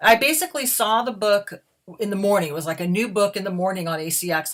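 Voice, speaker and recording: On a very clean recording with a silent background, a woman with a normal speaking voice talks at a moderate pace with lively intonation. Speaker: audiobook narrator. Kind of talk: casual talk to camera.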